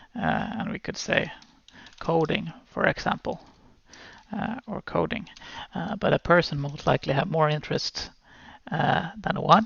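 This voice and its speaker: In a Swedish accent, the speaker keeps a moderate pace broken by long, frequent pauses. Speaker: programming teacher. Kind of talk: tutorial. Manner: hesitant, many fillers.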